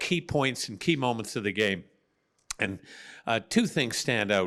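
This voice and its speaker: Lively intonation marks a man's speech, recorded very cleanly over a silent background. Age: 60s. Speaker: sports broadcaster. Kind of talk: post-game interview. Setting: team dressing room. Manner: animated.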